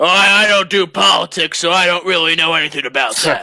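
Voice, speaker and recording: A man does a put-on character voice with a high pitch. He talks at a fairly quick pace. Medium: actual play. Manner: blunt, self-assured.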